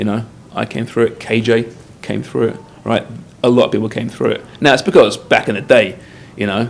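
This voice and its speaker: A man with an English accent talks at a fairly quick pace, broken by long, frequent pauses. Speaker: soccer TV show host. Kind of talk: casual interview.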